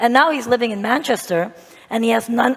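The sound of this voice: A woman puts on a raspy, hoarse character voice at a fairly high pitch. She talks at a fairly quick pace.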